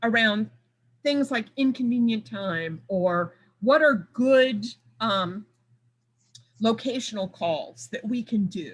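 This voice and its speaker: Very slow and somewhat breathy, a woman speaks with long, frequent pauses. Her fairly high voice carries lively intonation. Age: 60s. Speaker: debt collection compliance expert. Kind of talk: panel discussion.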